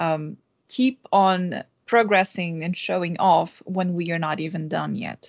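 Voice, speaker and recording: Very slow, fairly even speech in a Portuguese accent against a quiet background. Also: woman. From Brazil. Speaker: game QA tester and streamer. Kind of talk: panel discussion. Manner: hesitant, many fillers.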